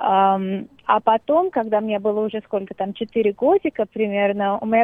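Her voice sits fairly high in pitch for a woman. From Russia, Moscow. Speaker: singer-songwriter. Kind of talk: interview.

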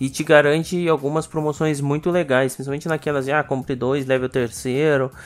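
A man talks at a fairly quick pace with hardly any pauses, in an unremarkable speaking voice. His pitch is fairly high, and his intonation stays fairly even. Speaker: podcast co-host. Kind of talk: casual chat.

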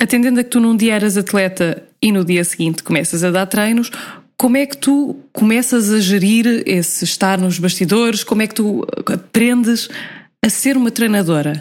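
This woman has a normal speaking voice and a fairly high pitch. She speaks at a moderate pace with ordinary pitch variation. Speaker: podcast host. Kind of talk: casual interview.

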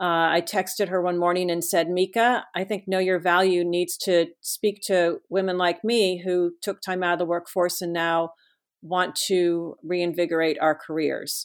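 Monotone, flat intonation marks this woman's fairly low voice. She talks at a fairly slow pace with hardly any pauses. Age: 50s. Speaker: author and former press secretary. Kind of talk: interview. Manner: halting, many fillers.

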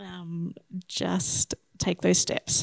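The sound is dry and close with no echo as a woman speaks in an Australian accent. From Australia (Shepparton, Victoria). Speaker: optometrist, missionary candidate. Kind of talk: interview.

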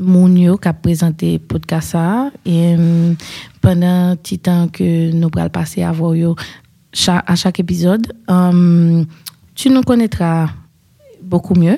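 At a very slow pace and with long, frequent pauses, a woman speaks in a fairly low, somewhat breathy voice with a dark, mellow tone and ordinary pitch variation. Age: 30s. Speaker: podcast host. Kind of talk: casual chat.

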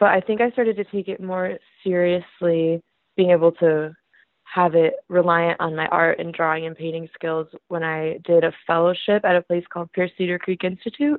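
A woman with an American accent and an ordinary speaking voice talks at a moderate pace, fairly low in pitch, with fairly even intonation. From Michigan, US. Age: 20s. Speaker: art student and printmaker. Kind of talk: casual interview.

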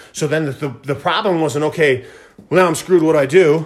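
A man is speaking. His tone is animated. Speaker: podcast host. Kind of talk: solo monologue podcast, motivational talk. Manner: fast talker, animated; energetic, enthusiastic.

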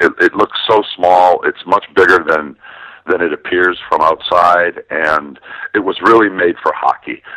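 A man with an American accent at a fairly slow pace, in a dry, close sound with no echo. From Wisconsin, Milwaukee. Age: 50s. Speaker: sports journalist and author. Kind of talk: interview.

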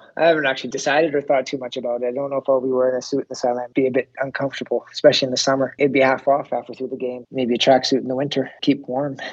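A man with a Canadian accent at medium pitch, very fast and nearly pause-free, in a monotone, flat delivery. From British Columbia, Canada. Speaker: football coach. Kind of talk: interview.

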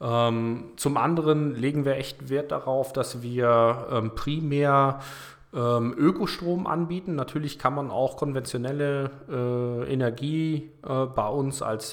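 Speaking fairly slowly, a man keeps a medium pitch and shows ordinary pitch variation. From northern Germany, Kiel. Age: 40s. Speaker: energy startup managing director. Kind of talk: casual interview. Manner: hesitant, many filler sounds.

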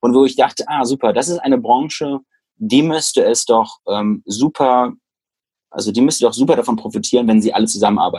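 The man's medium-pitched voice has a dark, mellow tone and lively intonation, moving at a fairly quick pace. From Germany, Düsseldorf. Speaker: tech entrepreneur and AI consultant. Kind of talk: interview conversation. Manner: hesitant, many fillers.

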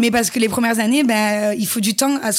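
Fairly quick, somewhat breathy speech from a woman at a fairly high pitch, with ordinary pitch variation. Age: 30s. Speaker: influencer and former reality TV contestant. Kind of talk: interview.

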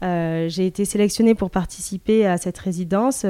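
A woman's medium-pitched voice, dark and mellow in tone, at a moderate pace with fairly even intonation. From southern France, Mediterranean coast. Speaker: artist. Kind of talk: interview. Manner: halting, many repetitions and hesitations.

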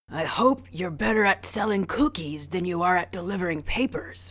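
A raspy, female-sounding put-on character voice at middle pitch moves along at a moderate pace.

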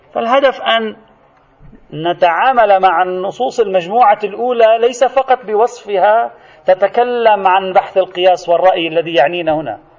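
Very slow speech with ordinary pitch variation over noticeable background noise. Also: man, high pitch for a man. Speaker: religious scholar teaching a seminary course. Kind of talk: lecture. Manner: animated.

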